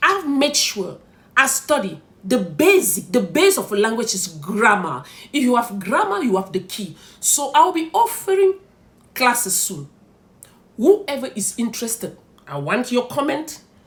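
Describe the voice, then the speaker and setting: A woman's high pitch with very wide pitch swings at a fairly slow pace. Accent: Cameroonian. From Cameroon. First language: French. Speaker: content creator. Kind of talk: vlog advice talk.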